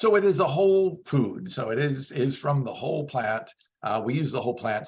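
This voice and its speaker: A somewhat breathy male voice with lively intonation. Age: 60s. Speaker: vegan bodybuilder and supplement company owner. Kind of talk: interview. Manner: animated.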